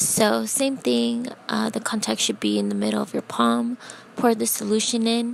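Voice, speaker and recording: A woman speaks quietly over noticeable background noise. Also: moderate pace. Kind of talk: casual tutorial talk to camera. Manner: quiet, low voice.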